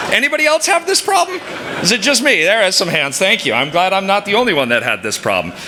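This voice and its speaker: Over noticeable background noise, a man talks very fast in a raised, projected voice, his high pitch swinging very widely. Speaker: sales executive and scout leader. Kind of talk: speech to an audience. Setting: stage with audience. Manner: loud; animated.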